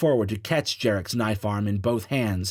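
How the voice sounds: The speaker reads. It is a natural reading voice.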